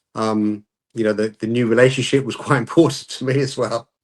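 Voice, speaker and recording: Someone with a British accent talks at a moderate pace. The intonation stays fairly even. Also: man. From UK. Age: 60s. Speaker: calisthenics YouTuber. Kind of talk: podcast interview.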